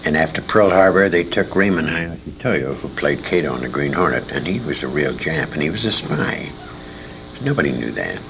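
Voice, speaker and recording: The speech moves at a fairly quick pace, with music playing behind it and audible echo in the room. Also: man, very deep, low pitch for a man. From England, raised partly in Detroit. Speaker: retired radio actor. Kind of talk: interview reminiscence. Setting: convention.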